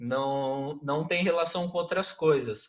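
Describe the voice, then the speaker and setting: This man's voice sits at a fairly high pitch and has a bright, sharp tone. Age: 20s. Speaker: graphic designer and marketer. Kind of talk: interview. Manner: casual, hesitant with fillers.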